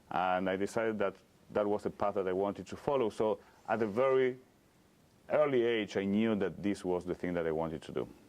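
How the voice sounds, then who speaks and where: A man with a slight Argentine accent speaks at a fairly quick pace in a fairly low pitch, with ordinary pitch variation. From Argentina (Cordoba). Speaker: rabbi. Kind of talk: interview. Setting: synagogue.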